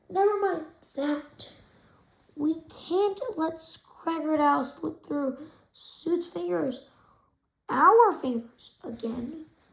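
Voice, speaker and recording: Putting on a raspy character voice, a woman speaks at a high pitch and a very slow pace with long, frequent pauses. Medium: read story. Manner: eager, goofy.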